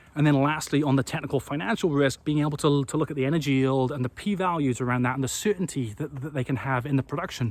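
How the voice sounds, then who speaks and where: A man talks at a fairly high pitch in a Welsh accent. His pace is fairly quick. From Wales. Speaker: renewable energy company CEO. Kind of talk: business talk to camera. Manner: stuttering, repetitive.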